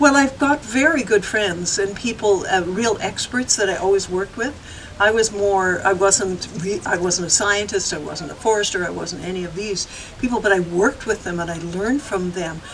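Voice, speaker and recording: Moderate-paced speech with a Canadian accent and ordinary pitch variation, amid noticeable background noise. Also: woman, medium pitch for a woman. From Victoria, British Columbia, Canada. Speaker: environmental activist. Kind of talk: interview answer.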